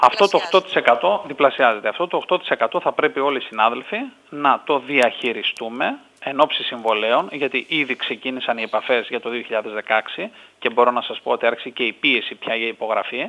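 A man in a normal speaking voice, moderately paced, with lively intonation. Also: medium pitch for a man. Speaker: hotel industry representative. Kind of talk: phone interview. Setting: phone call.

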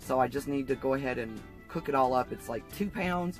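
A woman at a moderate pace, dry sound with no echo, faint music in the background. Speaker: cooking vlogger. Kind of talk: casual vlog tutorial. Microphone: camera far.

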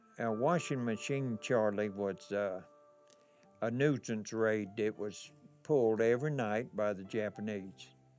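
With faint music in the background, a man talks at a fairly slow pace with ordinary pitch variation. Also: fairly low pitch for a man. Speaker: war veteran. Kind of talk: interview answer. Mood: wry, reminiscent. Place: hall.

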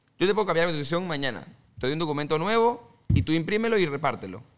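At a very fast pace, a man speaks with high pitch and lively intonation. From Panama. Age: 20s. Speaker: politician; podcast guest, candidate. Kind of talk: interview. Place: studio. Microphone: studio mic.

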